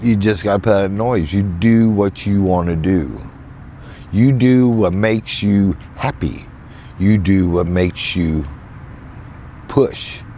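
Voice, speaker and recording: A fairly low-pitched man in a Southern US accent, very slow pace, long and frequent pauses, ordinary pitch variation and very even loudness, over noticeable background noise. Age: 60s. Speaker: van life vlogger. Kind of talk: casual vlog monologue. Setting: in a van in a field. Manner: halting, repetitive.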